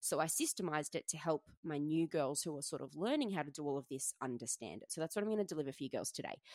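A woman with an Australian accent talks at a very fast pace with hardly any pauses, her very deep, low pitch showing ordinary variation in a dry, close sound with no echo. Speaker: personal trainer and fitness coach podcast host. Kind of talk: solo podcast monologue. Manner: casual, chatty.

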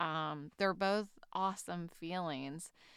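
Here a woman speaks at a fairly low pitch. Her pace is fairly slow, with ordinary pitch variation. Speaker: podcast host, recovering alcoholic and stroke survivor. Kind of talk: solo reflective monologue. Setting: at home. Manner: halting, many fillers.

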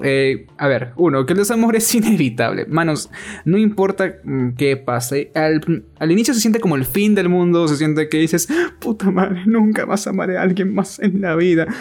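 A man with a high-pitched voice speaks at a moderate pace, his intonation lively and his loudness very even, over noticeable background noise. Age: 20s. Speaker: podcast co-host. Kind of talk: casual chat. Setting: at home.

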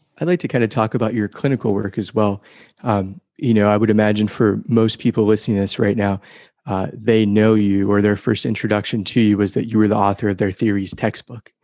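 A man's unremarkable speaking voice, fairly low in pitch, with fairly even intonation and a fairly quick pace over a quiet background. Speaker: podcast host. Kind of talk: scripted intro with interview questions.

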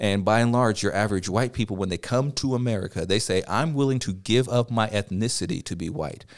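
A plain, everyday voice moves at a fairly quick pace with hardly any pauses and ordinary pitch variation on a very clean recording with a silent background. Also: man, medium pitch for a man. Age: 30s. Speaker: teacher. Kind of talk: casual chat.

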